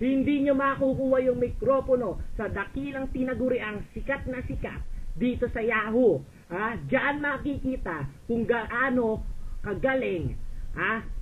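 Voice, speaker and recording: A man is shouting loudly at an extremely high pitch. His pace is fairly slow, and his pitch variation is ordinary. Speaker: voice chat room user. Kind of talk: heated argument. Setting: online voice chat room.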